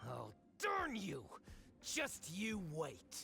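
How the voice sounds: A man puts on a character voice, pitched high with a bright, sharp tone and very wide pitch swings. He talks at a very slow pace with vocal fry, and faint music plays in the background.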